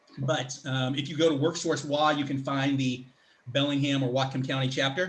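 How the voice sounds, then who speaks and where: A man speaks in a fairly high pitch, somewhat breathy. His intonation is monotone and flat. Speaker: public speaker and career coach. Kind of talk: online presentation. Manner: fast.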